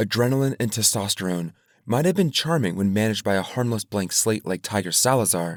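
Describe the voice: Here the speaker is plainly reading aloud, with lively intonation.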